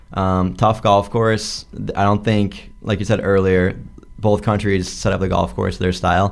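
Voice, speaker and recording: This man has a fairly low pitch and speaks at a fairly slow pace with ordinary pitch variation in a plain, everyday voice. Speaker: college golfer. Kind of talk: sports interview.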